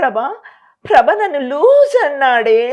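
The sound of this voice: A man puts on a sing-song character voice pitched extremely high.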